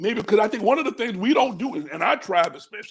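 A man speaks at an extremely high pitch. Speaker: bishop and church leader; bishop. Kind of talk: online church teaching broadcast. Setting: livestream video call. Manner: warm, pastoral. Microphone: earbuds.

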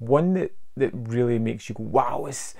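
A man's medium-pitched voice with a slightly mellow tone, at a fairly slow pace with fairly even intonation.

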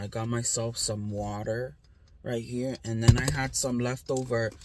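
Loud background noise sits behind a woman's voice. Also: dry sound with no echo. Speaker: vlogger. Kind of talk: casual vlog chat. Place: car. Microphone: phone near.

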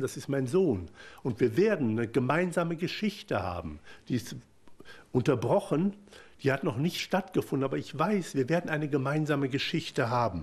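The pace is moderate, and vocal fry runs through the voice. Pitch swings very widely. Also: man. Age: 50s. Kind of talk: personal testimony talk. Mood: emotional, earnest. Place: hall.

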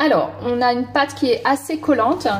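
A woman talks at a moderate pace with faint music behind her. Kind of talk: tutorial. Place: kitchen.

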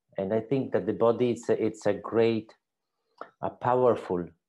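A man speaks at a fairly low pitch, with ordinary pitch variation and a moderate pace. His tone is dark and mellow.

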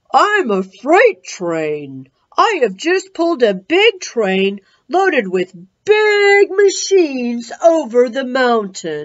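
A woman's put-on character voice, high-pitched, with very wide pitch swings at a very slow pace. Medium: read story. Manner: pompous, dismissive.

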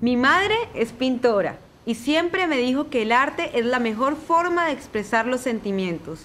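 A woman's high-pitched voice with very wide pitch swings at a fairly slow pace. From Colombia. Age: 20s. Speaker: craft presenter. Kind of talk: tutorial; personal introduction.

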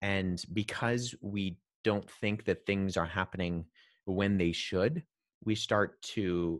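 With a Canadian accent, a man speaks in a fairly low pitch, the sound dry with no echo and the background quiet. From Canada, partly raised in Jordan. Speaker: guest. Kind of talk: explanatory interview answers, lecture-like. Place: home room. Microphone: studio mic.

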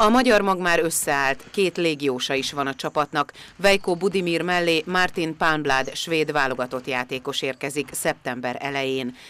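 The speaker keeps a moderate pace with hardly any pauses. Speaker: TV reporter. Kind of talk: news voice-over narration.

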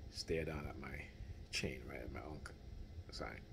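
A man talks at a moderate pace in a very deep, low voice with vocal fry. Light background noise sits behind him. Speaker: vlogger. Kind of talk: casual vlog chat. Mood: indignant, opinionated. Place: home room. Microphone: phone near.

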